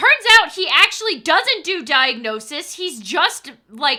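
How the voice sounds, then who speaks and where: A woman's raised, projected voice, bright and sharp in tone, with very wide pitch swings at a fairly slow pace. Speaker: streamer. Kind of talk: casual chat. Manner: animated; loud.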